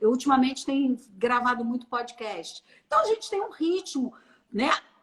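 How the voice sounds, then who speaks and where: A woman at high pitch, with lively intonation and a moderate pace. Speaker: personal branding consultant. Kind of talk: live stream conversation.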